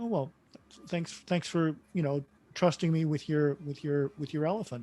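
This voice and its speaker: A man talks in an ordinary speaking voice. He keeps a moderate pace and ordinary pitch variation. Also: fairly high pitch for a man. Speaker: workshop facilitator and coach. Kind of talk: online workshop group discussion.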